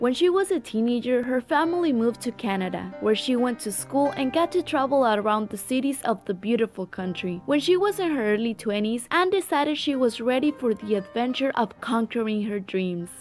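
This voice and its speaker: Over music in the background, a woman talks in a high pitch with lively intonation. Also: hardly any pauses. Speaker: interviewer and narrator. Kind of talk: documentary narration.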